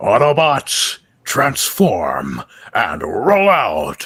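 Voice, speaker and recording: A raspy, put-on character voice at a very slow pace. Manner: heroic, commanding.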